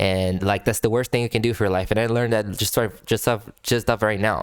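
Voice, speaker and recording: Loudness stays very even throughout, with a monotone, flat intonation. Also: man, fairly low pitch for a man, fairly quick pace. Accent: non-native. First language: not English. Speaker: music reaction youtuber. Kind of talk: casual commentary. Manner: halting, many repetitions.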